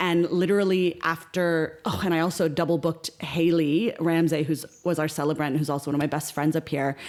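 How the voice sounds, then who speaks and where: An animated woman with an American accent, fairly low in pitch, at a fairly quick pace. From United States. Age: 40s. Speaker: circus performer and theatre actor. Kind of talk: interview.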